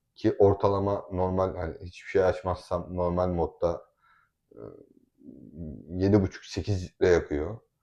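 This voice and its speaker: The pace is fairly slow, with long, frequent pauses. The background is quiet. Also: man, big swings in loudness. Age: 20s. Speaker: family vlogger. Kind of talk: casual chat. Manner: animated.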